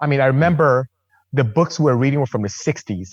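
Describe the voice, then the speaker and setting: In a Nigerian accent, the speaker talks at a very fast pace with lively intonation and a somewhat breathy voice, in a dry, close sound with no echo. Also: man. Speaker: engineer and car builder. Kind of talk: casual chat.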